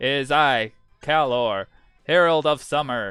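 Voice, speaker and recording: A man uses a put-on character voice at a medium pitch with ordinary pitch variation and a fairly slow pace. Faint music plays in the background. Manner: warm.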